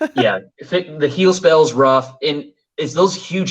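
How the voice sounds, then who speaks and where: Vocal fry colors the fairly high-pitched speech of a man. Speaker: gaming channel host. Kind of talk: casual chat. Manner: halting, many fillers.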